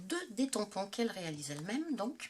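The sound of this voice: A woman speaks at a fairly quick pace in a medium pitch. Her voice moves in big pitch swings.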